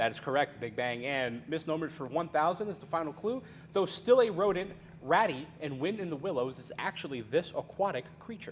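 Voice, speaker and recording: An unremarkable speaking voice moves at a fairly quick pace, with lively intonation and big swings in loudness. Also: man, fairly high pitch for a man. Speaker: game show host. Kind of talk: game show hosting, casual and energetic.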